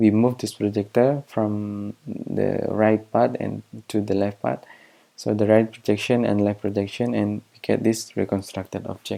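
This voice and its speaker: A man's fairly low, dark and mellow voice, fairly slow, with an Indonesian accent. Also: ordinary pitch variation. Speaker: researcher. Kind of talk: lecture. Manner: halting.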